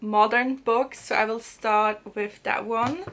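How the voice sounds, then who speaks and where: The speaker has a German accent. Their intonation stays fairly even. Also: woman. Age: 20s. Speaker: language-learning and book vlogger. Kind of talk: casual vlog tips. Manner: hesitant, many fillers.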